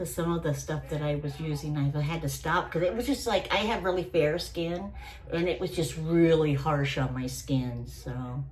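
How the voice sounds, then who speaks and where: Amid noticeable background noise and audible room echo, a woman speaks at a moderate pace. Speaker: beauty vlogger. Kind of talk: tutorial. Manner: halting.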